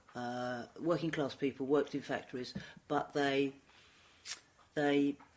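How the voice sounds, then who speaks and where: Speaking with a London accent, a woman has a very deep, low pitch and a fairly slow pace. Her intonation is monotone and flat. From London, Brixton. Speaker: former council leader and equalities consultant. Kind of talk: oral history interview.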